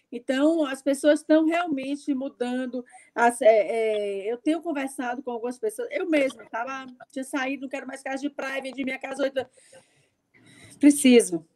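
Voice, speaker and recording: Recorded dry and close with no echo, a woman speaks at a moderate pace with a high pitch, a dark, mellow tone and ordinary pitch variation. Her loudness swings widely. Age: 60s. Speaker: chef and writer. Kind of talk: panel discussion. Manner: hesitant, many fillers.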